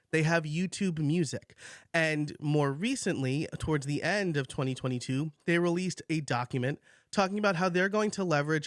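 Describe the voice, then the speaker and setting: Against a quiet background in a dry, close sound with no echo, a man with an ordinary speaking voice talks at a moderate pace and a fairly high pitch, with ordinary pitch variation. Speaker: podcaster. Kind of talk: debate.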